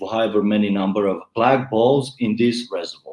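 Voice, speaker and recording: A man with a non-native accent and a medium pitch. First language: not English. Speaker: YouTube growth advisor. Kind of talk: interview.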